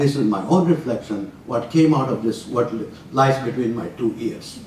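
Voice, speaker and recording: Audible room echo around a male voice with ordinary pitch variation. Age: 80s+. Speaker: retired physician giving a talk on scripture. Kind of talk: lecture. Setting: university room with audience, walking with mic.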